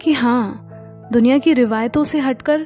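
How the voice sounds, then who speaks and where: Music plays in the background as a woman speaks at a high pitch with fairly even intonation. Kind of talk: spoken-word poetry reading.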